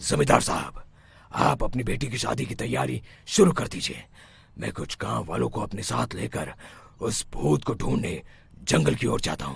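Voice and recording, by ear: In a cartoonish character voice, a man speaks at a moderate pace with a very deep, low pitch and very wide pitch swings.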